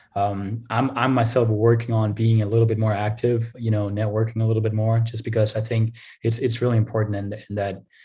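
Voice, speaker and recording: With a Danish accent, this man talks at a moderate pace and medium pitch in a dark, mellow, somewhat breathy voice, his intonation monotone and flat, on a very clean recording with a silent background. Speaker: revenue operations analyst. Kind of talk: interview. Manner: hesitant, many fillers and repeats.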